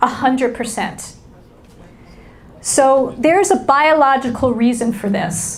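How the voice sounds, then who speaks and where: With noticeable background noise, a woman with an American accent speaks in a high pitch and an animated tone, at a fairly slow pace with ordinary pitch variation and long, frequent pauses. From New York City. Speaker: business school lecturer and keynote speaker. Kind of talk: keynote talk. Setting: stage with audience.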